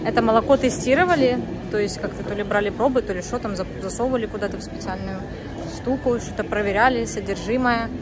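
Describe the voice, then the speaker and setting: A woman talks at a very fast pace with ordinary pitch variation. Crowd noise fills the background. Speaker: family vlogger. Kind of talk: casual vlog chat. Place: station. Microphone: phone near.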